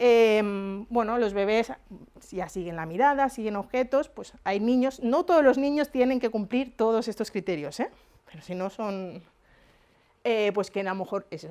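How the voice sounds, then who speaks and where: On a very clean recording with a silent background, a woman speaks at a fairly high pitch. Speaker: psychologist lecturer. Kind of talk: lecture. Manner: fast.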